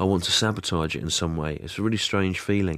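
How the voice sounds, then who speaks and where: A man with an English accent talks at a fairly quick pace in a very deep, low pitch with fairly even intonation. The recording is very clean, with a silent background. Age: 40s. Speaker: stand-up comedian. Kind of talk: interview. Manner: hesitant, many fillers.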